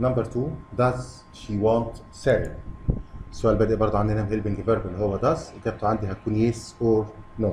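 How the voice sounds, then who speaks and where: Against noticeable background noise, a man speaks at a fairly quick pace with a fairly low pitch and fairly even intonation. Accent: Egyptian. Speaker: English teacher for kids. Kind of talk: lesson.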